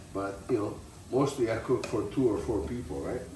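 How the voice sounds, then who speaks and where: A man with lively intonation, amid audible room echo and noticeable background noise. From Italy. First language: Italian. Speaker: tailor and home cook. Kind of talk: cooking tutorial. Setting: home kitchen. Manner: casual, halting.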